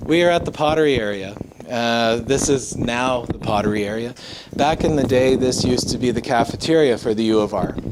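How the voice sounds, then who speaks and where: Noticeable background noise sits behind a man talking at medium pitch with ordinary pitch variation. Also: fairly quick pace. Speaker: ghost tour guide. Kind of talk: live guided tour talk to a group. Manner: casual, conversational.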